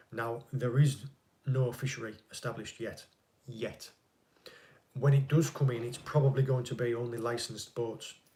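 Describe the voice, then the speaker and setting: A man with a somewhat breathy, dark, mellow tone talks in a monotone, flat intonation broken by long, frequent pauses. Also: medium pitch for a man, moderate pace. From northeast England. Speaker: fishing channel host, ex-Navy. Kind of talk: live stream Q&A chat.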